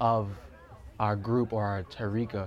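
A man with a New York accent talks at a medium pitch. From New York, the Bronx. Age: 20s. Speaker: skateboarder. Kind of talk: documentary interview. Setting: at home.

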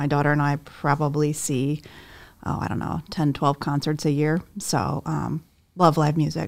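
A woman speaks at a moderate pace in a very deep, low voice with vocal fry and monotone, flat intonation. The recording is very clean, with a silent background. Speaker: human resources officer. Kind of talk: casual interview answers.

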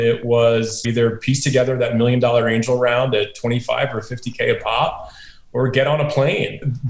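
A man with an American accent speaks at a moderate pace in a normal speaking voice. His pitch is medium and his intonation fairly even. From upstate New York. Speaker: venture capitalist. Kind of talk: interview.

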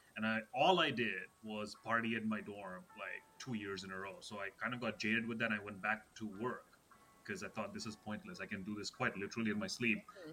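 A man with a fairly low pitch talks at a fairly quick pace with hardly any pauses. Music plays in the background. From Russia, Moscow. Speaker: comedian and comedy producer. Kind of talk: casual interview.

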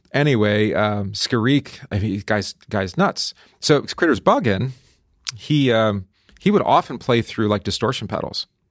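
The sound is dry and close, with no echo. A man talks at a medium pitch and a fairly slow pace, with lively intonation. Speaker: co-host, pastor. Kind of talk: casual chat. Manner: soft-spoken, mild-mannered.

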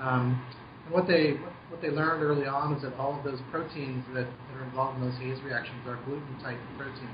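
A man with an American accent talks at a fairly quick pace in a monotone, flat intonation. Noticeable background noise and audible room echo fill the recording. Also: medium pitch for a man. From US Southwest (Albuquerque, New Mexico). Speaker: brewmaster. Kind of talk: interview over a phone call.

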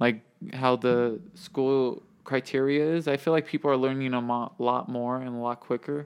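An unremarkable speaking voice from a man, medium in pitch, moderate in pace, with fairly even intonation. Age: young. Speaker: podcast co-host. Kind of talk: casual chat.

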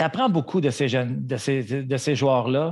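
A man with a Quebec accent speaks in a fairly high pitch. His voice is somewhat breathy, with ordinary pitch variation. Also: quiet background. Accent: Québécois French. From Montreal, Quebec. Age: 50s. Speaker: retired hockey player, co-host. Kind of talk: casual chat.

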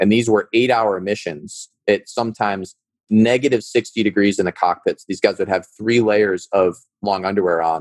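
At a moderate pace, a man with a Midwestern American accent speaks at a fairly low pitch and fairly even intonation. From US Midwest, suburbs of Cleveland, Ohio. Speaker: startup founder and former military officer. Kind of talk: interview conversation.

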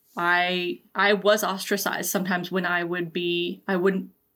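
Bright, sharp tone with monotone, flat intonation on a very clean recording with a silent background. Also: woman. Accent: American. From US South, Georgia. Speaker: LGBTQ healthcare educator. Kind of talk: oral history interview.

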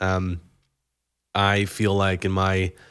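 A man speaks with a fairly low pitch. The recording is very clean, the background silent. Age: 30s. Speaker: podcast host. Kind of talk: casual chat.

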